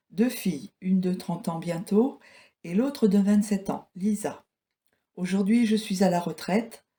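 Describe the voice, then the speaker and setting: A woman's somewhat breathy voice, medium in pitch, with a dark, mellow tone, ordinary pitch variation and a fairly slow pace. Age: 60s. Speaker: retiree, former care home worker. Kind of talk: interview.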